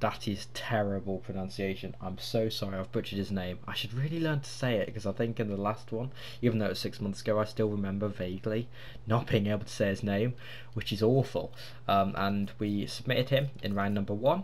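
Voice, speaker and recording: At a fairly quick pace, a man talks in a somewhat breathy voice with a fairly low pitch. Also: ordinary pitch variation. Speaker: gaming YouTuber. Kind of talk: casual video game commentary.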